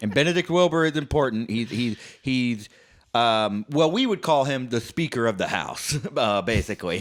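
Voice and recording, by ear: The speaker is reading aloud in a natural voice, with lively intonation.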